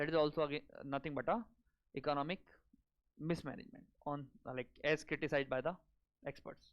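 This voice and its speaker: The speech comes at a very fast pace in an Indian accent, with ordinary pitch variation. Long pauses break it up often. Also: man, fairly high pitch for a man. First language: Hindi. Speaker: exam coaching teacher. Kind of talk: lecture. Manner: code-switching Hindi and English.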